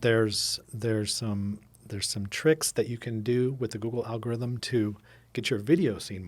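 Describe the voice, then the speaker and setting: At a moderate pace, a man with a medium pitch and ordinary pitch variation speaks with big swings in loudness on a very clean recording with a silent background. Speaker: podcast co-host. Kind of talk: casual chat.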